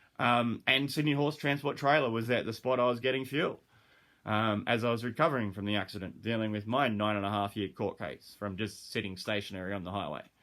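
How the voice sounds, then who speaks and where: His pitch is medium and varies in an ordinary way. The man's delivery moves fairly quickly. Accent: Australian. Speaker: dog trainer and animal behaviourist. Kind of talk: casual monologue. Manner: fast.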